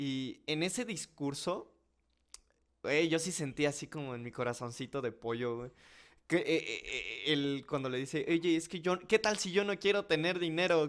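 A man talks with a normal speaking voice. His pitch is fairly high and his pace fairly slow. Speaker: podcast host. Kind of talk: casual chat.

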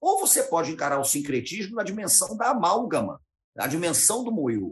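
A man with a Carioca accent speaks at a fairly quick pace, his pitch swinging very widely. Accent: carioca Brazilian Portuguese. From Rio de Janeiro, Brazil. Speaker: historian and teacher. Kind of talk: interview conversation.

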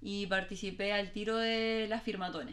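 There is noticeable background noise as a woman talks in a Chilean accent. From Chile, Valparaíso. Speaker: political candidate. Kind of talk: casual chat.

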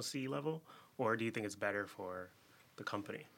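A man talks with an American accent. His fairly low voice has a bright, sharp tone. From Chicago. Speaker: podcast host. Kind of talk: casual interview chat. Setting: studio.

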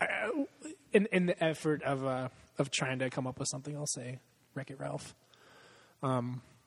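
A somewhat breathy man's fairly high voice at a moderate pace, broken by long, frequent pauses. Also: ordinary pitch variation. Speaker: podcast host. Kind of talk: casual chat. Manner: profane, laughs often.

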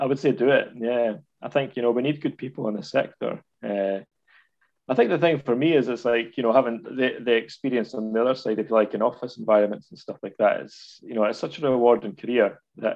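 Medium-pitched male speech in a Scottish accent at a fairly quick pace. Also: ordinary pitch variation. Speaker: university lecturer in community education. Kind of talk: casual interview.

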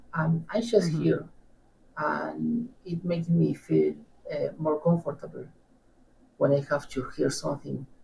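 A man with an Argentine accent at a fairly slow pace, with long, frequent pauses. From Argentina, Patagonia (Neuquén). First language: Spanish. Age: 30s. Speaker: guest, language learner. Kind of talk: interview, casual chat.

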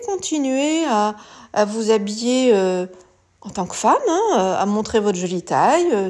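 On a very clean recording with a silent background, a woman with a fairly high pitch and a dark, mellow tone speaks with lively intonation. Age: 50s. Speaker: image consultant. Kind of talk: solo podcast monologue. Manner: halting.

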